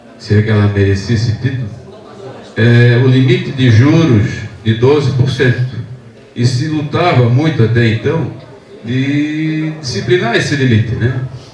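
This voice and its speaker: A man's fairly slow speech with long, frequent pauses, ordinary pitch variation and very even loudness, plus audible room echo and light background noise. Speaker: audience member, public servant; audience member. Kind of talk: audience comment. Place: classroom.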